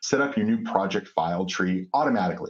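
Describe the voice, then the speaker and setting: Pitch varies in an ordinary way as the voice keeps a moderate pace. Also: man. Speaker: software company presenter. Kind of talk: webinar presentation. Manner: many filler words.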